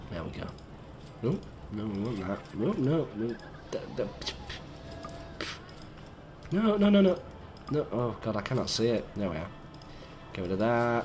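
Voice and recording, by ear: Croaky and slightly mellow, a man at medium pitch speaks at a fairly slow pace with big pitch swings and long, frequent pauses.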